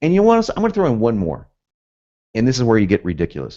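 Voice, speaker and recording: Speaking in an American accent with very wide pitch swings, the voice sounds animated against a quiet background. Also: man. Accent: southern US, occasionally northern. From US, both South and North. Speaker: copywriting instructor. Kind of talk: webinar lecture. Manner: fast, animated.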